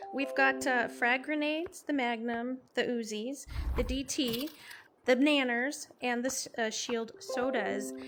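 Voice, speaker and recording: A woman with an American accent speaks at a high pitch and a very slow pace, with ordinary pitch variation. Music plays in the background. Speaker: VR streamer and interviewer. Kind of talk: casual gaming stream talk.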